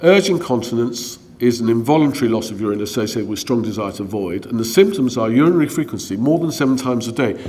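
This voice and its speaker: Amid audible room echo and noticeable background noise, a man rattles on at a very fast pace with lively intonation and hardly any pauses. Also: medium pitch for a man. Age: 60s. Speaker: gynaecologist. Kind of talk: lecture. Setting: conference talk with slides.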